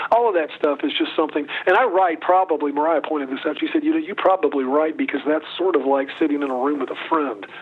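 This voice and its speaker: Against noticeable background noise, a man with an American accent and a fairly high pitch talks at a very fast pace with hardly any pauses and ordinary pitch variation. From US South, North Carolina. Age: 60s. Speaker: singer-songwriter. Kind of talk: interview.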